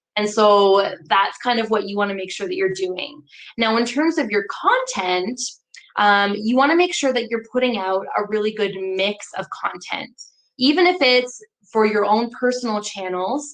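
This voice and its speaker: A woman speaks at a moderate pace with lively intonation in a fairly high pitch. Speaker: marketing consultant. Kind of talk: webinar presentation. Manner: loud; animated.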